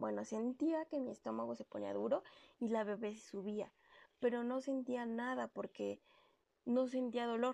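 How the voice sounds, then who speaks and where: A woman with a high pitch, ordinary pitch variation, and a moderate pace. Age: 30s. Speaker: podcast host, working mother. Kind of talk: personal storytelling monologue.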